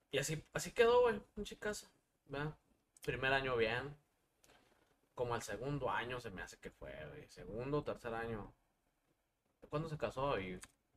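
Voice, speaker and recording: A man's fairly high voice with very wide pitch swings and long, frequent pauses. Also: moderate pace, big swings in loudness. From Durango, Mexico. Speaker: musician. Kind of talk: casual chat.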